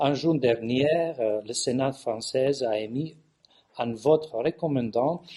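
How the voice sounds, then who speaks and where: A man with a Californian accent and a dark, mellow tone, at a very slow pace with ordinary pitch variation. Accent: Californian-tinged foreign accent in French. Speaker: bishop and theologian. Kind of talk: conference talk. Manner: halting with many hesitations.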